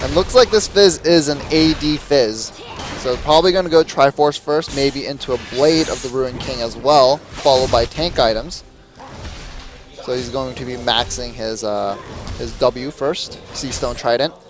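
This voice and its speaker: Over music in the background, a man speaks at a moderate pace with a fairly high pitch. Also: ordinary pitch variation. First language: not English, learned young. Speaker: esports caster. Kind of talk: live commentary.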